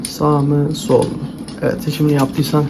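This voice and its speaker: Over noticeable background noise, a soft-spoken man talks at a fairly high pitch. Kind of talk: ASMR role-play game talking to the viewer. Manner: soft-spoken, calm.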